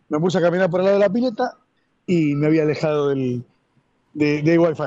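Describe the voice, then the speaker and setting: A man's fairly high, dark, mellow voice at a moderate pace. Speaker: club member commentator. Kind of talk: casual chat. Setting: remote call.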